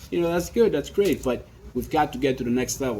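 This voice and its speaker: An animated male voice over noticeable background noise. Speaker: capital raising consultant. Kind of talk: promotional talk. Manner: fast.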